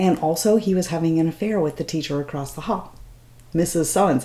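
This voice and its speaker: A woman with a fairly low pitch talks while noticeable background noise can be heard. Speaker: beauty vlogger. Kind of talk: casual talk to camera. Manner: rambling, chatty.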